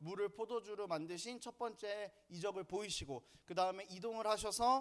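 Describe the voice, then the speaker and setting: A man with a northern Gyeonggi accent speaks at a fairly quick pace in a high voice, with ordinary pitch variation. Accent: northern Gyeonggi pronunciation, self-noted. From northern Gyeonggi, South Korea. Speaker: Sunday school curriculum lecturer. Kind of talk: lecture. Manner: casual, conversational.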